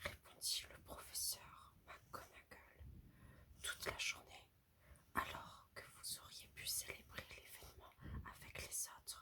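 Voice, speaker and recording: A whisper at a very slow pace. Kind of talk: read story. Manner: whispered; soft, soothing.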